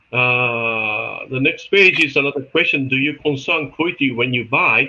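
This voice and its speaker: A man's voice at a moderate pace amid noticeable background noise. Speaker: olive oil market expert. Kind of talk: webinar presentation. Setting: video call. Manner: halting.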